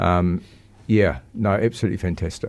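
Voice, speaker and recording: Against a quiet background, a man with a New Zealand accent speaks in a very deep, low voice at a moderate pace with fairly even intonation. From New Zealand, Christchurch. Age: 70s. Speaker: recovering alcoholic. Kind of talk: testimony. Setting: studio. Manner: halting.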